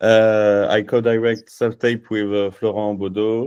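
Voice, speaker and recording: A man speaks with a French accent at a fairly low pitch. His pace is very slow, and his tone is dark and mellow. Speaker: filmmaker. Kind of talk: virtual panel interview. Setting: video call. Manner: halting.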